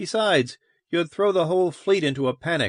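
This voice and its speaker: Someone performs a put-on character voice at a fairly quick pace. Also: man, dry, close sound with no echo. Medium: read story. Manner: blunt.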